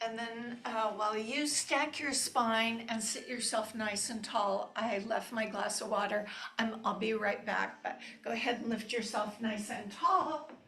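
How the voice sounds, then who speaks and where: In a room with audible echo, a woman speaks with a warm tone at a fairly high pitch. Her intonation is fairly even and her pace fairly slow. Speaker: yoga teacher. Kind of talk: guided yoga class. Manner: slow-paced; warm and chatty.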